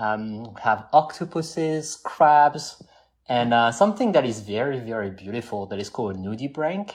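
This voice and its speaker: Someone speaks with a French accent and lively intonation. Their loudness swings widely against a quiet background. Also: man, medium pitch for a man, moderate pace. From southwest France. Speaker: scuba diver. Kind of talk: casual chat.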